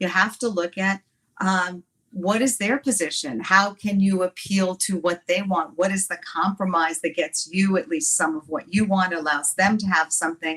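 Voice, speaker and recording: A normal speaking voice from a woman, medium in pitch, at a moderate pace with ordinary pitch variation. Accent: American. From Watertown, New York. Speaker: congresswoman, former lawyer. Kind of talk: interview answer.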